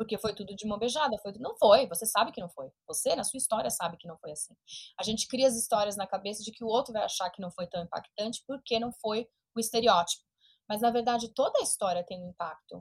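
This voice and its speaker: Delivered at a very fast pace with big swings in loudness, the somewhat breathy voice has ordinary pitch variation and a dry, close sound with no echo. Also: woman, fairly high pitch for a woman. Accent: São Paulo. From Brazil, São Paulo. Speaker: entrepreneur and business coach. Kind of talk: interview.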